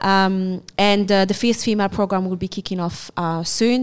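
A woman at a moderate pace and medium pitch, with a French accent. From France and Morocco. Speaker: martial arts coach. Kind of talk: casual interview chat.

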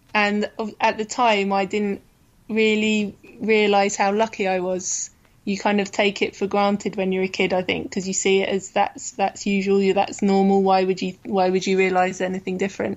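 In an English accent, a woman speaks at a moderate pace with a medium pitch and monotone, flat intonation. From England. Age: 30s. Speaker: football player. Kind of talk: casual interview.

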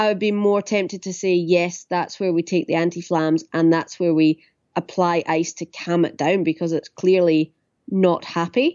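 A woman speaks with a Scottish accent at a moderate pace. Her pitch is fairly low and her intonation fairly even. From Ayrshire, southwest Scotland. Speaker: physiotherapist. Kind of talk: interview. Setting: phone call.

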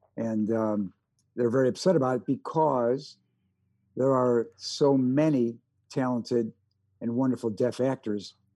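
With a Chicago accent, a man talks at medium pitch in a dark, mellow tone with fairly even intonation. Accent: Chicago-tinged American. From US Midwest. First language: American Sign Language. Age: 70s. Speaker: actor and war veteran. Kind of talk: casual interview. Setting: video call.

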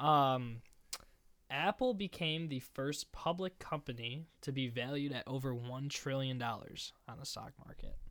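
A man at a fairly high pitch with ordinary pitch variation, a normal speaking voice, a fairly slow pace, and a very clean recording with a silent background. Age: young. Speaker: college student. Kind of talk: casual chat.

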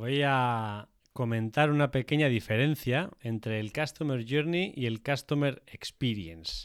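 A man speaks in an ordinary speaking voice at medium pitch, with ordinary pitch variation and a fairly slow pace. There are hardly any pauses, and the recording is very clean with a silent background. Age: 30s. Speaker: podcast co-host on industry, tech and sales. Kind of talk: casual chat and explanatory discussion.

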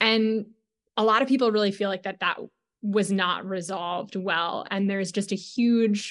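Over a quiet background, a woman with a plain, everyday voice and medium pitch speaks at a moderate pace with fairly even intonation. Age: 20s. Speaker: campaign organizer. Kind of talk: interview.

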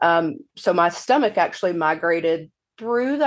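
Against a quiet background, a woman with an American accent uses an ordinary speaking voice at a fairly low pitch and a fairly slow pace. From US South (Mississippi). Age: 30s. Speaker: patient sharing illness story. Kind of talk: interview.

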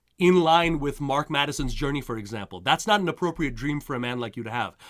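On a very clean recording with a silent background, a man with a Montreal accent speaks in a bright, sharp tone with ordinary pitch variation. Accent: Canadian English, Montreal. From Montreal, Quebec, Canada. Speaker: career coach. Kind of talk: interview. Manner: halting, many repetitions and fillers.

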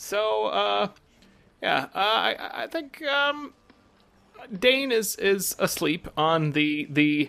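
A man projects a raised, high-pitched voice with a bright, sharp tone. His pitch swings very widely, and he takes long, frequent pauses. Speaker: player. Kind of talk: tabletop roleplaying game, in-character. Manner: joking, casual.

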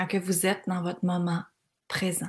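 The clip is very clean with a silent background. The voice belongs to a woman. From Quebec (Granby). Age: 40s. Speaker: life coach podcaster. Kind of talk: motivational monologue. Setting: cottage by the water.

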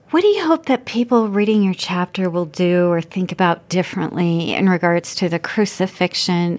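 A woman talks at a moderate pace with hardly any pauses, at a medium pitch with ordinary pitch variation. It is an ordinary speaking voice. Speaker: podcast host. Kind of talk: interview.

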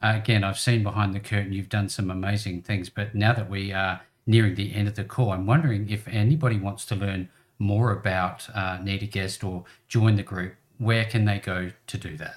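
At a fairly quick pace, the speech comes out somewhat breathy. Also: man, fairly low pitch for a man. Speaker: podcast host. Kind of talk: casual interview. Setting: video call.

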